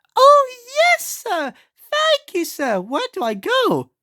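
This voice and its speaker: This put-on character voice is squeaky and extremely high in pitch. It moves at a very slow pace. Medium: read story. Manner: polite, eager.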